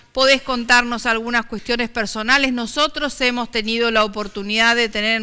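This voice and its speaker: Speaking with a Rioplatense accent, a woman uses a fairly high pitch and fairly even intonation in a bright, sharp tone. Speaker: TV talk show host. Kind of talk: interview.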